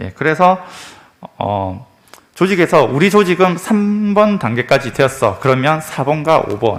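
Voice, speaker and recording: Noticeable background noise sits in the recording. Through it, a man's voice swings very widely in pitch. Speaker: security company director presenting. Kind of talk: conference presentation. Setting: conference room. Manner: fast, rushed; frequent filler hesitations.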